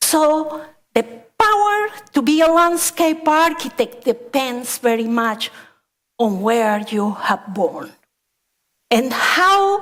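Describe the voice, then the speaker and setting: Speaking with a Spanish accent, a woman uses a high pitch with very wide swings. Her pace is very slow. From Colombia, coffee region. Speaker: landscape architect. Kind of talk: conference talk.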